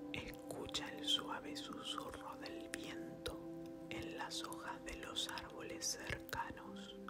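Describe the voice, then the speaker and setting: A man speaking at a very slow pace, with music in the background. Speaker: ASMR meditation guide. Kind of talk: guided sleep meditation. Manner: soft-spoken, whispered, slow.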